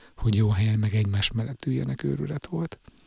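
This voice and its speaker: In a very clean recording with a silent background, a man speaks at a fairly low pitch in a somewhat breathy voice. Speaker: podcaster reading own blog. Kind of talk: reading aloud.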